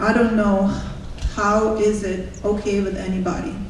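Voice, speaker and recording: Amid noticeable background noise and audible room echo, a woman speaks fairly slowly in a monotone, flat intonation. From Russia. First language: Russian. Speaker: public commenter at school board meeting. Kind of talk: public comment speech. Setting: school board meeting with audience.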